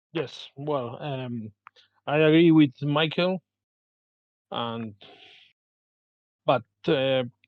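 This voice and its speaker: Someone with a Spanish accent talks at a very slow pace, with long, frequent pauses. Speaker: game designer. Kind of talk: panel discussion. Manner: halting.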